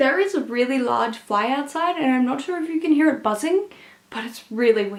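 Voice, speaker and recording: With an Australian accent and lively intonation, a woman speaks at a high pitch. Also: moderate pace. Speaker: book reviewer. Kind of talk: casual vlog talk. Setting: at parents' house in the country.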